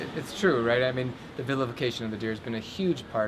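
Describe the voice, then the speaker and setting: With noticeable background noise behind him, a man talks with ordinary pitch variation. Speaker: interviewer. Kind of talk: interview question.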